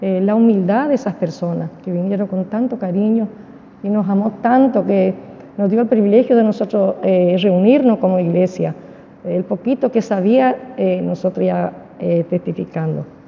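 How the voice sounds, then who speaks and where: Woman at a medium pitch and moderate pace, ordinary pitch variation, noticeable background noise. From Argentina, Misiones province. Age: 70s. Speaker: church deaconess. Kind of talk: interview testimony. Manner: halting, with many fillers.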